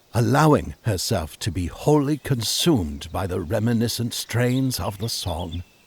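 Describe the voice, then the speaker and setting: A man's fry-edged voice at a fairly slow pace, with very wide pitch swings. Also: medium pitch for a man. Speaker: audiobook narrator. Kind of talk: children's audiobook narration.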